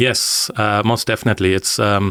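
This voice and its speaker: With a German accent, a man speaks at a moderate pace in a fairly low pitch and fairly even intonation, the sound dry and close with no echo. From northern Germany. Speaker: engineering team leader. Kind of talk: podcast interview. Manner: hesitant, many fillers.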